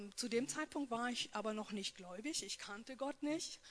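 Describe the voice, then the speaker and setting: A woman with a plain, everyday voice, ordinary pitch variation and a moderate pace. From North Rhine-Westphalia. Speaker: post-abortion support worker. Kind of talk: personal testimony and talk.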